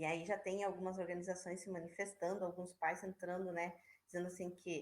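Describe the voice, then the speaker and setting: A woman of medium pitch speaks at a fairly quick pace. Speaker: schoolteacher. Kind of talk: online class. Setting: video call. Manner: casual, hesitant fillers.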